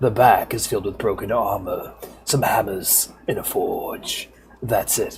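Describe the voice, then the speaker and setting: A man performs a put-on character voice against clear background noise. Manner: hissing, raspy.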